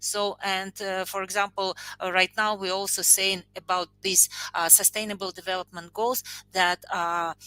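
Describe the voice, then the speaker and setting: In a very clean recording with a silent background, a woman speaks at a medium pitch and moderate pace, her tone bright and sharp and her intonation monotone and flat. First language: not English. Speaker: panel guest. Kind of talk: panel discussion. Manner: halting, many fillers.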